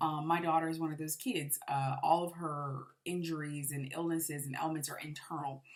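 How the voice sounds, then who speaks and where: A woman's very deep, low pitch with fairly even intonation. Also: moderate pace. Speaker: parent of a medically fragile child, channel owner. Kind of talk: personal vlog monologue. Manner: stuttering, hesitant with many fillers.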